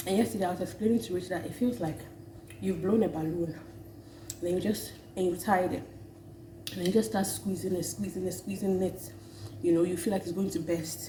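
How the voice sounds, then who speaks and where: Vocal fry marks a woman's fairly low-pitched voice as she talks at a fairly quick pace with lively intonation. Long, frequent pauses break her speech, and the room echo is audible. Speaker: vlogger. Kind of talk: casual vlog talk.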